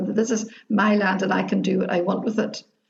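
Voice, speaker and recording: Fairly even intonation at a fairly quick pace. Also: woman. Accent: Northern Irish. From Derry, Northern Ireland. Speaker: activist, retired teacher. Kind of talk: interview answer. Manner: joyful, humorous.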